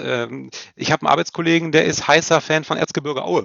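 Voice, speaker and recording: Pitch variation is ordinary in this ordinary speaking voice, which moves at a moderate pace. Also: man. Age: 30s. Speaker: football commentator and journalist. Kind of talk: casual interview chat.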